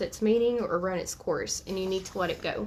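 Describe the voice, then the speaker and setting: The delivery is fairly quick, with fairly even intonation, in an ordinary speaking voice. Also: woman. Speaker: tarot reader. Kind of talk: live stream tarot reading. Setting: live video stream.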